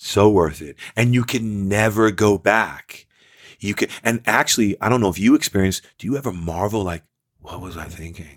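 A man with an unremarkable speaking voice talks at a moderate pace with an American accent, his fairly low pitch showing ordinary variation and big swings in loudness. The sound is dry and close with no echo, on a very clean recording with a silent background. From New York (Queens, Long Island). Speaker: actor and entrepreneur. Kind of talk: casual chat.

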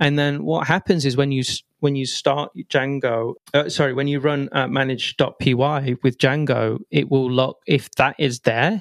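A man speaks in a medium pitch with an English accent. His pitch varies in an ordinary way, and the sound is dry and close with no echo. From England. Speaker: software developer and tech writer. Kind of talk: casual technical interview.

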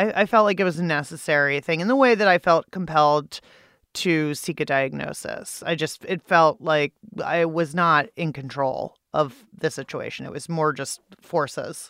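In an American accent, a woman with a very deep, low pitch and ordinary pitch variation speaks at a moderate pace, the recording very clean with a silent background and a dry, close sound with no echo. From Pittsburgh, Pennsylvania. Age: 40s. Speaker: journalist and podcast host. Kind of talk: interview. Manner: loud.

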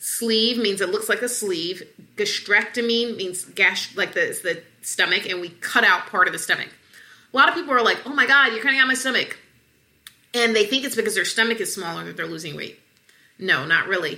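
A woman with an American accent talks fairly fast in an ordinary speaking voice, fairly high and lively in intonation, with big swings in loudness. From US South, Atlanta. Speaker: obesity medicine physician. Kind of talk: interview.

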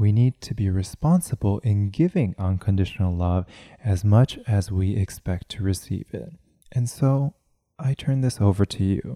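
On a very clean recording with a silent background and a dry, close sound with no echo, a man with a fairly low pitch and a dark, mellow tone speaks at a moderate pace with lively intonation. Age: 30s. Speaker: podcast host, mindfulness speaker. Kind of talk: solo podcast monologue on mindfulness.

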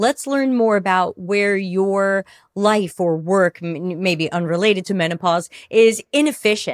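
A woman with an unremarkable speaking voice, medium in pitch with ordinary pitch variation, at a fairly slow pace, on a very clean recording with a silent background and a dry, close sound with no echo. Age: 50s. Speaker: customer experience consultant. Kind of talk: casual interview.

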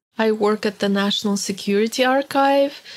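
A woman with a Russian accent speaks at a moderate pace in a medium pitch with fairly even intonation, on a very clean recording with a silent background. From Soviet Union, born in Hungary. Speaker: historian and archive analyst. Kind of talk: interview testimony.

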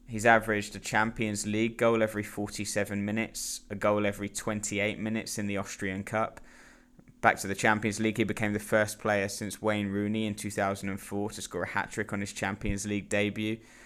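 In a British accent, a man talks at a fairly quick pace with fairly low pitch and flat, monotone intonation, on a very clean recording with a silent background. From Britain. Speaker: football journalist. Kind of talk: casual chat.

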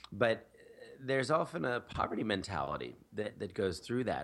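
With an American accent and a plain, everyday voice, a man speaks at a moderate pace with lively intonation. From US Northeast, Philadelphia. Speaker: nonprofit founder. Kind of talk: interview.

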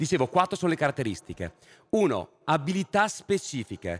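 Very wide pitch swings mark a man's fairly high voice, which has vocal fry. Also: dry, close sound with no echo. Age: 30s. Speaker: panel moderator, philosopher. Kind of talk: moderated panel discussion.

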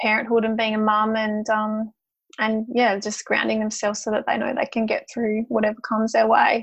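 A woman with an Australian accent. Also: quiet background. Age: 30s. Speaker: social worker and mother. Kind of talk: casual interview.

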